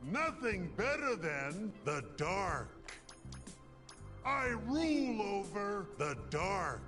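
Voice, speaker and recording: A man's put-on character voice, high in pitch, at a very slow pace with long, frequent pauses and clear music in the background. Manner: menacing.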